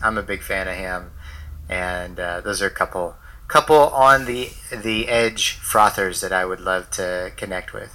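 Speaking in a normal speaking voice with an American accent, a man talks fairly slowly at a fairly low pitch with ordinary pitch variation. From United States. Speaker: entrepreneur, digital nomad. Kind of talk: casual interview chat.

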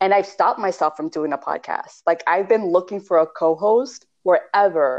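At a moderate pace and medium pitch, a woman talks with ordinary pitch variation and hardly any pauses. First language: Spanish. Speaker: podcast co-host, spiritual practitioner. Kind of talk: casual chat.

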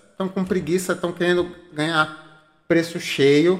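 A man uses an ordinary speaking voice, moving at a moderate pace with ordinary pitch variation. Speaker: podcast host. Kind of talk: casual chat.

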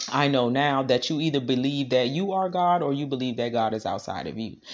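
A woman speaks with an American accent. Her tone is animated and her intonation lively. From Washington, D.C. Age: 30s. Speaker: podcaster and spiritual practitioner. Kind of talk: casual monologue.

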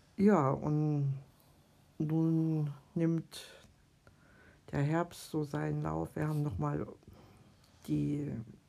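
Very slow delivery from a woman. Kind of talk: casual chat.

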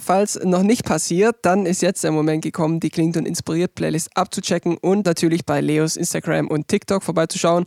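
With hardly any pauses, a man speaks in a high pitch, with very even loudness and fairly even intonation, and the sound is dry and close with no echo. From rural Germany. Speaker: podcast host and musician. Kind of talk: casual interview; podcast intro and outro.

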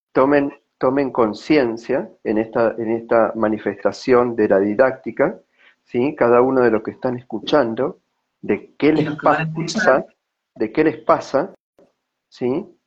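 Here a man speaks at a very slow pace. His medium pitch shows ordinary variation. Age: 40s. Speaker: personal growth consultant. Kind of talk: personal testimony.

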